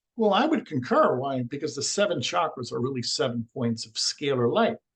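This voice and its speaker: Speaking at a fairly quick pace, a man with a fairly high pitch sounds somewhat breathy as his pitch swings very widely. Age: 60s. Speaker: alternative energy healer. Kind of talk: interview.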